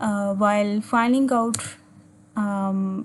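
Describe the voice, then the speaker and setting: Speaking at medium pitch, a woman keeps her intonation fairly even. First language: Urdu or Hindi. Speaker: physics teacher. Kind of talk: tutorial. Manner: halting, with frequent fillers.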